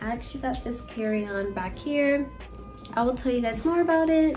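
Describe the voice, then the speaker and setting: Light background noise accompanies a woman's high-pitched voice at a fairly quick pace. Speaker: vlogger. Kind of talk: casual vlog chat. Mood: relaxed, cheerful morning. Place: home room. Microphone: phone near.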